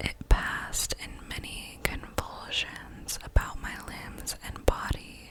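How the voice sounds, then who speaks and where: A woman whispers very slowly with big swings in loudness over noticeable background noise. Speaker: ASMR creator. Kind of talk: whispered ASMR story reading. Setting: home recording with condenser microphone. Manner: whispered, soft-spoken.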